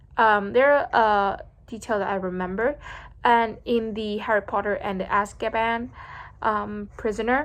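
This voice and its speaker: Here a woman talks with a Vietnamese accent. Her pitch varies in an ordinary way. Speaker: vlogger practicing English speaking. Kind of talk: speaking practice monologue. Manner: halting, many fillers and restarts.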